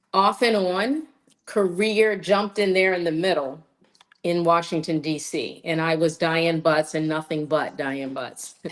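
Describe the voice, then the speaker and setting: A woman at a fairly low pitch, fairly slow pace and ordinary pitch variation. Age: 60s. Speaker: actor and voice-over artist. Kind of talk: casual interview chat. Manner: animated.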